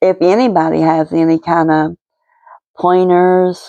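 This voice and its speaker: Speaking very slowly with an American accent, a woman has a dark, mellow tone, a fairly low pitch and fairly even intonation. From West Virginia, Kanawha County (Cabin Creek). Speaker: resin art hobbyist vlogger. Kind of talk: casual voiceover for craft video. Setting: home, voice recorded after filming. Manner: hesitant, many fillers.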